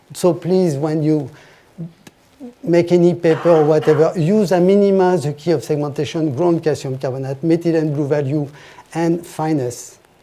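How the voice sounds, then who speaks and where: With a French accent, a man speaks at a moderate pace and fairly high pitch, his intonation fairly even. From France. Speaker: industry expert presenter. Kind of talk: technical presentation. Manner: halting.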